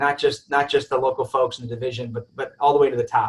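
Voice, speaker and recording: Somewhat breathy and fairly high in pitch, a man talks at a very fast pace in a monotone, flat intonation. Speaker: real estate developer executive. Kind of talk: webinar presentation. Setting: webinar.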